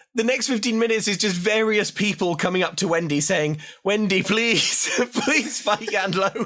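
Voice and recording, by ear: Pitch moves in an ordinary way as the speaker reads aloud in a natural voice.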